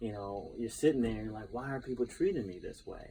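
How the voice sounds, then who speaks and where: Somewhat breathy and dark, mellow in tone, a man speaks at a medium pitch with an American accent. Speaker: professional speaker, poet and educator. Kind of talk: interview answer.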